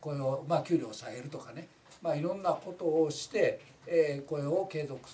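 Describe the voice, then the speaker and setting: At a moderate pace, a man speaks with a Kansai accent. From Kansai, Japan. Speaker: labor union representative. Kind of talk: informal talk on a labor case. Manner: rambling, many fillers. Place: office.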